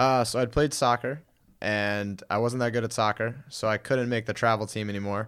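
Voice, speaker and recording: This man has an ordinary speaking voice at medium pitch, talking at a moderate pace with fairly even intonation. The recording is very clean, with a silent background. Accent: American. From Connecticut, New Haven area. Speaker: personal trainer, former wrestler. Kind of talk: casual interview.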